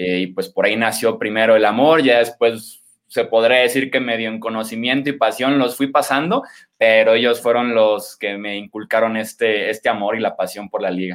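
A man's plain, everyday voice at medium pitch, moderate in pace, with fairly even intonation. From Mexico, Guadalajara, Jalisco. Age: 20s. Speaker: sports journalist and analyst. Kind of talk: podcast interview, sports analysis.

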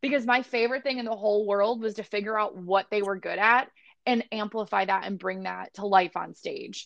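An unremarkable speaking voice from a woman with an American accent, fairly high in pitch, fairly quick, with fairly even intonation. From US Midwest, Barrington, Illinois. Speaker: dance studio manager. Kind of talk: casual chat. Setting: remote call.

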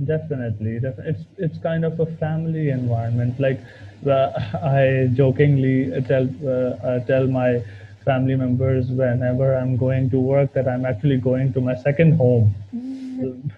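Against noticeable background noise, a man speaks at a moderate pace with fairly even intonation and a medium pitch. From Pakistan. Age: 20s. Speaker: PhD student in chemical engineering. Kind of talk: interview. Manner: hesitant, many fillers and repeats.

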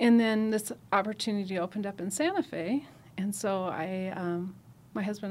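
A woman with an American accent has an ordinary speaking voice and medium pitch. She talks at a fairly quick pace with fairly even intonation. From Nebraska, rural US Midwest. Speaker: trauma nurse coordinator. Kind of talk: podcast interview. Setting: studio.

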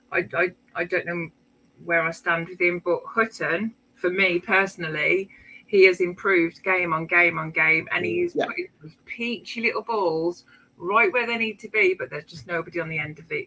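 Amid noticeable background noise, a woman with a fairly low pitch and ordinary pitch variation talks at a moderate pace with big swings in loudness. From outside Swindon, not local. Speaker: football fan panelist. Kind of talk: casual chat.

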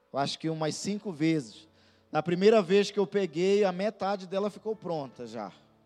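A man's high-pitched voice has a dark, mellow tone, ordinary pitch variation and a moderate pace. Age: 30s. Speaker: pastor. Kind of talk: sermon.

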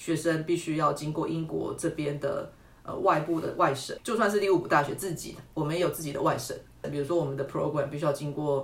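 A woman's very deep, low voice at a very fast pace, fairly even in intonation, with audible room echo and noticeable background noise. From Taiwan, Tainan County. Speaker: university lecturer in urban planning. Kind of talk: interview.

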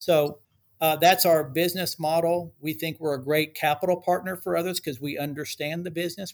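Speaking with a normal speaking voice and an American accent, a man talks at a fairly quick pace with a fairly high pitch and fairly even intonation. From Texas, Dallas-Fort Worth. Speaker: real estate developer executive. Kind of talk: interview.

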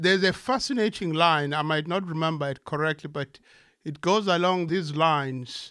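On a very clean recording with a silent background, a man speaks in a Zulu accent at a moderate pace. His fairly high voice has a bright, sharp tone and ordinary pitch variation. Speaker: poet and translator. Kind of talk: poetry reading.

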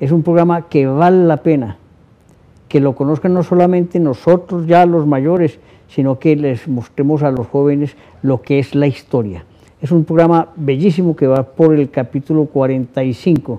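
Fairly slow and fairly high in pitch, a man talks in a plain, everyday voice with ordinary pitch variation. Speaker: TV interview host. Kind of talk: interview. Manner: formal.

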